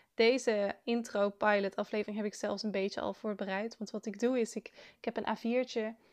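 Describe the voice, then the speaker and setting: This woman's voice sits at a medium pitch. Her intonation stays flat and monotone. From Netherlands, South Limburg. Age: 20s. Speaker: student podcaster. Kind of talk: casual monologue. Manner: hesitant, with filler sounds.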